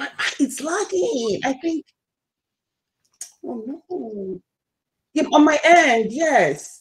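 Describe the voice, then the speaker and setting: A very slow voice with a strong Nigerian accent, very wide pitch swings, big swings in loudness and long, frequent pauses. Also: woman, high pitch for a woman. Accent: thick Nigerian. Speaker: YouTuber. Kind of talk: casual live stream chat. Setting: live stream video call.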